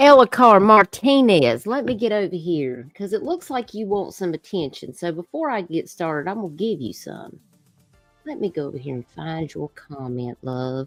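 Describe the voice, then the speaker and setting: A woman with a Southern US accent speaks at a fairly low pitch and a moderate pace, her pitch swinging very widely. Music plays in the background, and the sound is dry and close with no echo. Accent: Southern American. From American South. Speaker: live streamer. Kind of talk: casual, chatty, uses "honey" and "love". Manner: sassy, direct.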